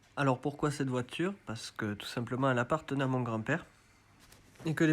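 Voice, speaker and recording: A man speaks at medium pitch with ordinary pitch variation in an unremarkable speaking voice. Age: 30s. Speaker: car enthusiast. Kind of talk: self-recorded video presentation.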